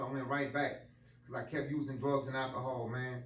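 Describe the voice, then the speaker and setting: A man talks at a fairly quick pace while room echo and background noise are both noticeable. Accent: American. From Louisiana, New Iberia. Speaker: motivational speaker. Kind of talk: testimony. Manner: unscripted, casual.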